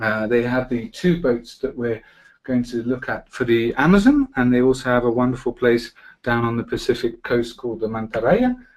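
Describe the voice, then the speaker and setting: With a British accent, the speaker keeps a moderate pace and fairly even intonation. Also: man, medium pitch for a man. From Britain. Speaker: travel presenter. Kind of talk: webinar presentation. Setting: online webinar.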